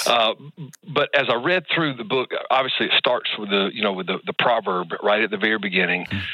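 Amid noticeable background noise, a man with a medium pitch speaks at a moderate pace with lively intonation. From Middle Georgia. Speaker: caller, pastor. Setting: phone.

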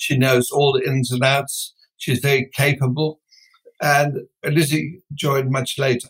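A man speaks at a fairly slow pace with monotone, flat intonation. His fairly high voice sounds somewhat breathy. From Netherlands. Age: 70s. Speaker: business founder. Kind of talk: interview.

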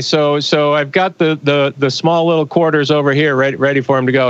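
A man with a fairly high pitch talks in a normal speaking voice. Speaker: astronaut. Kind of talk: casual interview. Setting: video call from space station.

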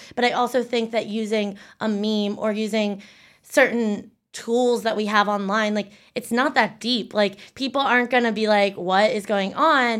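A woman with an American accent and a plain, everyday voice, fairly high in pitch, fairly even in intonation, at a moderate pace, on a very clean recording with a silent background. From Pennsylvania, York County. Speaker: digital strategist. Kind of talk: interview.

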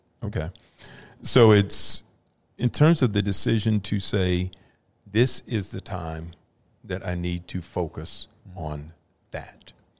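A man with an American accent at a very deep, low pitch, very slow, with long, frequent pauses. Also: ordinary pitch variation. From Dallas, Texas. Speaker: founder of a nonprofit, lawyer. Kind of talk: casual interview.

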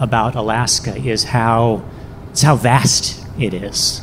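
A man speaks over noticeable background noise. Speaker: storyteller. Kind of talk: live storytelling.

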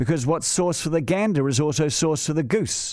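A man with a fairly high pitch and a dark, mellow tone, speaking in a New Zealand accent, on a very clean recording with a silent background. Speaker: radio host. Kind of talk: opinion monologue.

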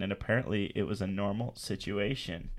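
A man's fairly low voice, an unremarkable speaking voice, at a moderate pace with ordinary pitch variation, on a very clean recording with a silent background. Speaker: student, host's husband. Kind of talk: casual chat.

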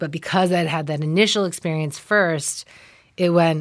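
Heard in a very clean recording with a silent background, a woman speaks with an American accent. Her fairly low voice stays monotone and flat. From US Midwest (Ann Arbor, Michigan). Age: 40s. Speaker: actress and comedian. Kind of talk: casual interview.

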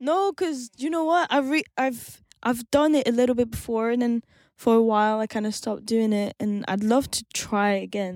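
A woman with a French accent and a fairly high pitch, lively intonation, a moderate pace and hardly any pauses, in a dry, close sound with no echo on a very clean recording with a silent background. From France. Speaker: singer-songwriter and producer. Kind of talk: interview. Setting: studio.

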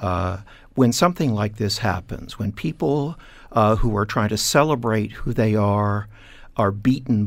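A man speaks at a fairly slow pace with a fairly low pitch. He has an ordinary speaking voice with ordinary pitch variation. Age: 60s. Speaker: heritage business owner and community activist. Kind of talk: radio interview.

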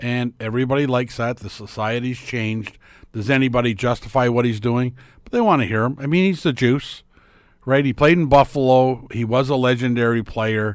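On a very clean recording with a silent background, a man speaks fairly quickly at a medium pitch with fairly even intonation, in an unremarkable speaking voice. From Ontario, Canada (small town). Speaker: sports talk guest. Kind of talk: casual chat.

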